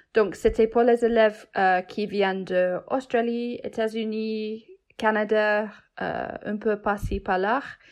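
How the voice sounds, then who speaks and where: A woman's very slow, monotone, flat delivery at a fairly high pitch, with an English accent, over a quiet background. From England. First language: English (speaking French). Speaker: cheesemaker. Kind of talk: casual interview chat. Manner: halting.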